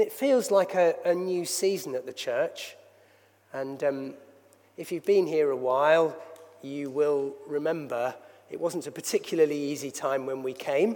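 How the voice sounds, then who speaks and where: A man speaks in an unremarkable speaking voice, pitched fairly high. His pace is moderate, and his pitch shifts in an ordinary way. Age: 60s. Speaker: church leader. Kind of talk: sermon. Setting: church.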